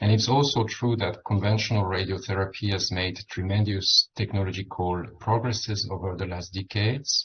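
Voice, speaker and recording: A man with a French accent speaks at a moderate pace in a fairly low voice with fairly even intonation. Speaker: medical physicist or radiation oncology researcher. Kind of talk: conference presentation. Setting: dinner symposium with audience.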